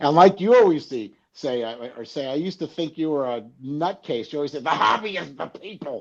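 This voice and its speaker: In a normal speaking voice, a man talks at a fairly quick pace with hardly any pauses, his pitch fairly high and his intonation lively. His loudness swings widely against a quiet background. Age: 60s. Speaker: sports card collector. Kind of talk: casual chat. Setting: live online show.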